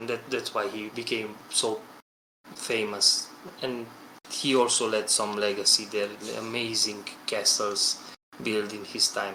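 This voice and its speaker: A man speaks at a fairly slow pace with a non-native accent, his medium-pitched voice bright and sharp, broken by long, frequent pauses. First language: not English. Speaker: game developer. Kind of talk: podcast discussion. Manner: halting.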